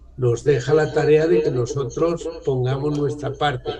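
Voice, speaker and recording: Somewhat breathy and dark, mellow in tone, a man's fairly high-pitched voice moves at a fairly slow pace with audible room echo. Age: 70s. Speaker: author on church renewal. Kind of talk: talk to discussion group.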